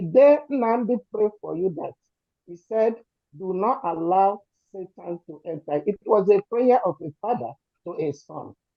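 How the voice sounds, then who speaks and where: A woman speaks with a Nigerian accent. Her pace is fairly slow. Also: medium pitch for a woman, big swings in loudness. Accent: Nigerian Igbo English. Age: 70s. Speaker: community supporter speaking at rally. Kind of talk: emotional testimony. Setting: gathering with crowd, also on Zoom. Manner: shaky.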